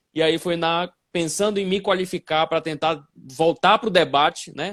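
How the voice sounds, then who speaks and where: On a very clean recording with a silent background and a dry, close sound with no echo, a man speaks at a high pitch with ordinary pitch variation. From northern Brazil, Belém do Pará (Amazon region). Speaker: physics teacher and educational assessment specialist. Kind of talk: live-stream interview. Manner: hesitant fillers, frequent 'né'.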